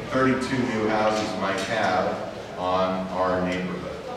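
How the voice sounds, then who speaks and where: Strong room echo and noticeable background noise around a man's voice with ordinary pitch variation. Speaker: presenter. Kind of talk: public presentation. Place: hall. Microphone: camera far.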